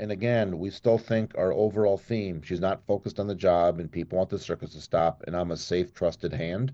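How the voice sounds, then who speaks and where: A man's very deep, low voice in an American accent, dark and mellow in tone, with ordinary pitch variation and a moderate pace. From US Midwest, Minneapolis. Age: 50s. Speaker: congressional candidate. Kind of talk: interview. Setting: remote call.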